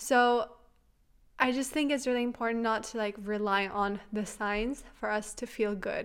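The recording is very clean, with a silent background. In it, a woman talks with a non-native accent. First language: not English. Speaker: podcast host. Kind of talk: casual monologue. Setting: home, on couch. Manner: chatty.

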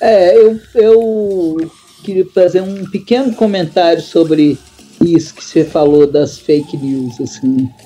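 Amid noticeable background noise, a woman with a fairly low pitch speaks very slowly, her intonation lively and her loudness swinging widely. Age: 60s. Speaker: professor. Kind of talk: casual chat. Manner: halting.

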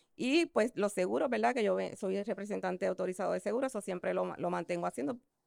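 A woman speaks at a very fast pace. The recording is very clean with a silent background, and the sound is dry and close with no echo. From Puerto Rico, San Juan metro area. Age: 50s. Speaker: esthetician and insurance agent. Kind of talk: interview. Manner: halting.

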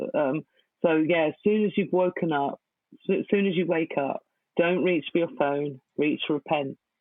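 A woman speaks at a moderate pace in a very deep, low pitch. Her intonation stays fairly even. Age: 40s. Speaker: poet. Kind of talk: interview.

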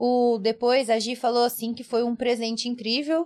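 A woman's voice sits at a high pitch. She talks at a moderate pace. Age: 20s. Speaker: podcast co-host. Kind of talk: casual chat.

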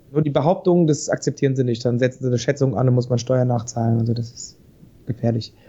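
Speaking at a very fast pace, a man has a dark, mellow tone that is somewhat breathy, with ordinary pitch variation. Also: medium pitch for a man. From Hesse, Vogelsbergkreis. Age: 30s. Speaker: spirits company founder. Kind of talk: casual interview. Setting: Skype call.

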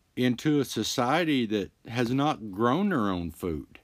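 A man talks at a very slow pace with very wide pitch swings. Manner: casual, halting with filler words.

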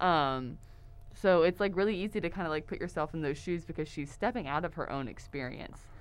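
This is an ordinary speaking voice with an American accent. Its pitch varies in an ordinary way. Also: woman, fairly low pitch for a woman. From Texas, Houston area. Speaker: theater lighting design student. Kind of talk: casual chat. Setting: studio.

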